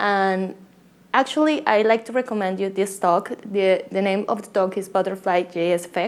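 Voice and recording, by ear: A woman with a Colombian accent speaks with fairly even intonation.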